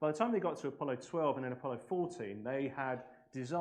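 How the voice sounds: The voice heard is a natural reading voice.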